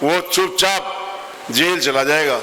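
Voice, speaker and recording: A man speaks with ordinary pitch variation. Audible room echo and noticeable background noise surround his voice. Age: 70s. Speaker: politician. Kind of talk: campaign speech. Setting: stage at a traders' meeting. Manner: forceful.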